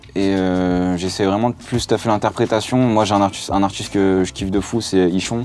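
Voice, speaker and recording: A man at a fairly low pitch and moderate pace, fairly even intonation, hardly any pauses, over noticeable background noise. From France, Lyon. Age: 20s. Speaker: rapper. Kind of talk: interview. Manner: hesitant with fillers.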